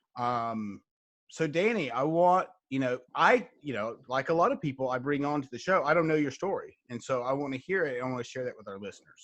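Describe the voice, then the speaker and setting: A man with a fairly high pitch and an ordinary speaking voice talks at a fairly quick pace with lively intonation against a quiet background. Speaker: podcast host. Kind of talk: podcast interview.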